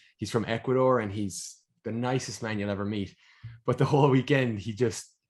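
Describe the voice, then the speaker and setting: A man talks at a fairly quick pace with an American accent. His medium pitch shows ordinary variation. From Ireland. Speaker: sport and performance nutritionist. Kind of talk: podcast interview.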